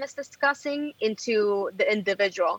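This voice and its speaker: A woman with a Puerto Rican accent, at a fairly slow pace. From Puerto Rico (Bayamón). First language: Spanish. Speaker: journalist and editor. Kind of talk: interview.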